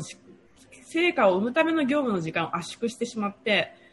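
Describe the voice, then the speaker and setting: This woman's voice sits high in pitch and moves in very wide pitch swings. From Japan, Toyama Prefecture. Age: 30s. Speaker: public relations worker and regional development freelancer. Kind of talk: casual interview. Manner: lively, frequent fillers.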